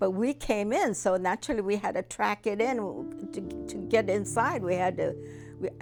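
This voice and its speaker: A woman with an American accent at a fairly slow pace, music in the background. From United States. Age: 80s+. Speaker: Japanese American internment survivor. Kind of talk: interview answer.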